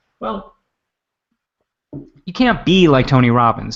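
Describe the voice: A man's voice with a fairly bright tone and big pitch swings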